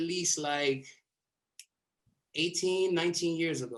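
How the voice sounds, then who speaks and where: A man speaks at a high pitch. His pitch moves up and down in an ordinary way. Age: 30s. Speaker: breakdancer. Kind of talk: interview storytelling.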